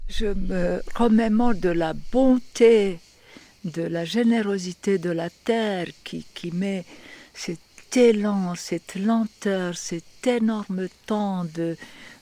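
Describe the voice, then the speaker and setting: Speaking very slowly, the voice carries a dark, mellow tone. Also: woman, medium pitch for a woman, ordinary pitch variation. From Yugoslavia. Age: 70s. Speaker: women's workshop leader. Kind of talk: documentary interview answer. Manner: hesitant, emotional.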